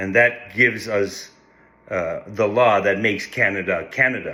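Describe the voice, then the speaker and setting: Speaking at a fairly slow pace, a man uses a fairly low pitch with ordinary variation and a bright, sharp tone. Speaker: First Nations political commentator. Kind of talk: casual social media monologue. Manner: animated; halting, with repetitions.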